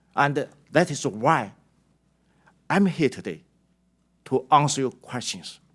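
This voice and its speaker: In a Chinese accent, a man speaks at a fairly high pitch with lively intonation and vocal fry. He leaves long, frequent pauses. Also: fairly slow pace. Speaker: company executive testifying. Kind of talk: prepared testimony statement. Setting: congressional hearing. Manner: formal.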